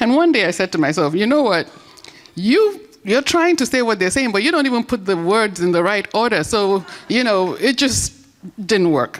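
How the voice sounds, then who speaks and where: A woman speaks at a moderate pace in a fairly high pitch, with very wide pitch swings and very even loudness. Noticeable background noise sits behind her. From Nigeria, later Trinidad and Tobago. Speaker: conference speaker. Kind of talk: inspirational speech.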